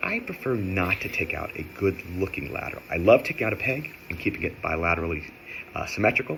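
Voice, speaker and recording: A man races through his words very fast with noticeable background noise behind him. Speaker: orthodontist. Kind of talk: educational tutorial.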